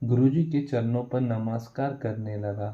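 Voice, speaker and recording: A man's somewhat breathy voice has a dark, mellow tone, a medium pitch and fairly even intonation. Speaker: religious story narrator. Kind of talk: religious exhortation; reading aloud.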